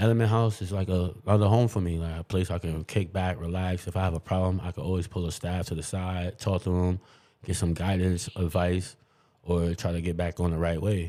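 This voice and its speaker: A man with a New York accent speaks at a fairly quick pace in a very deep, low pitch with a dark, mellow tone and monotone, flat intonation, on a very clean recording with a silent background. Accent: New York City. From New York City, Queens. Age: 30s. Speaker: clubhouse member, shooting survivor. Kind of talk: interview. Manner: casual.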